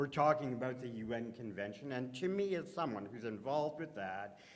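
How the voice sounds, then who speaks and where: A loud man with a Canadian accent, very wide pitch swings and audible room echo. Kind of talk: conference panel talk. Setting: conference stage with audience and microphone.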